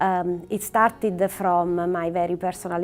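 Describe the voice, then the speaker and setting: A woman's medium-pitched, monotone voice with flat intonation and an Italian accent. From Italy. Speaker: oncologist. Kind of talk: prepared talk to camera. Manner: frequent hesitations with uh and um.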